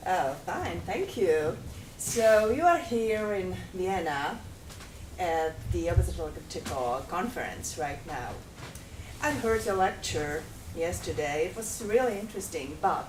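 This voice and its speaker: Very slow speech from a woman, with noticeable background noise and audible room echo. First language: not English. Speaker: workshop participant, journalist. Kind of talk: mock media interview role-play. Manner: formal interviewer style.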